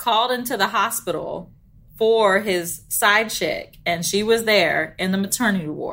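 A woman talks at a fairly slow pace. Her medium-pitched voice is bright and sharp in tone. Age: 30s. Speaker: podcast co-host. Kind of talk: casual chat.

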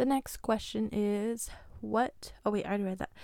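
A woman speaks with a plain, everyday voice. Her pitch sits at a medium level and varies in an ordinary way. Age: 20s. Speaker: podcast host. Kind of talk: solo Q&A podcast. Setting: home recording with mic. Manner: casual, laughs often.

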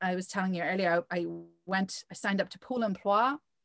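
A woman of medium pitch with an Irish accent on a very clean recording, silent background. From Ireland. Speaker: magazine founder and editor. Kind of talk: interview.

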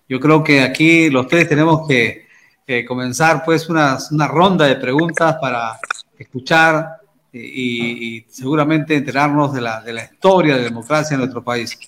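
This man has an unremarkable speaking voice, fairly high-pitched, with fairly even intonation at a moderate pace. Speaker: TV news journalist and host. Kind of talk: live TV talk show.

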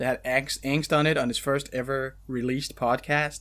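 Recorded very cleanly against a silent background, a man with a fairly high pitch and an ordinary speaking voice speaks at a moderate pace. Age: 30s. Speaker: anime podcast host. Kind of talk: casual chat.

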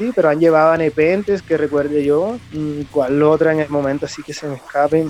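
With music playing in the background, a man talks at a fairly quick pace and a fairly high pitch. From Colombian Caribbean coast, Cereté, Córdoba. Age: 30s. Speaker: chef, metal fan. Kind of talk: casual interview.

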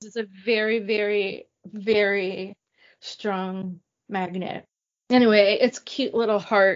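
Her medium pitch and monotone, flat intonation come at a very slow pace, as this woman's loudness swings widely. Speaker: podcast co-host. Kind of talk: casual chat.

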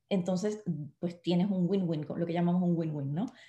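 A woman speaks with a dark, mellow tone. Her voice is somewhat breathy, with ordinary pitch variation. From Puerto Rico. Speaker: network marketing distributor and actress. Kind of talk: live online interview.

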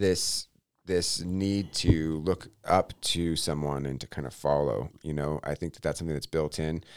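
A man speaks with an American accent. His pace is fairly slow, and his pitch varies in an ordinary way. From Texas. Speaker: pastor. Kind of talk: reading aloud; casual chat.

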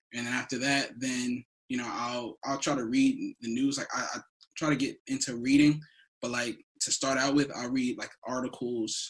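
A man with a plain, everyday voice and an American accent speaks at a medium pitch. His pace is moderate and his intonation fairly even. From New Jersey. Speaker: podcast co-host. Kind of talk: casual chat.

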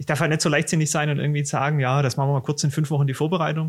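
The pace of this man's speech is very fast. He talks at a fairly high pitch. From Swabia, southern Germany. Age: 30s. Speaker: tax advisor and exam tutor. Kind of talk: casual podcast chat.

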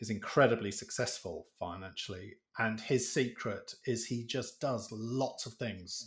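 A somewhat breathy man's voice at a fairly slow pace, medium in pitch, with ordinary pitch variation and hardly any pauses. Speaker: podcast host. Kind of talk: casual interview chat.

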